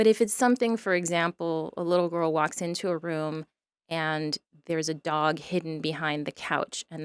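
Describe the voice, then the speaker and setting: A woman with a plain, everyday voice and a fairly low pitch speaks at a moderate pace with fairly even intonation. The very clean recording has a silent background and a dry, close sound with no echo. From southern California (San Diego), born in Mexico. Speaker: children's author. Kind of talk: interview conversation.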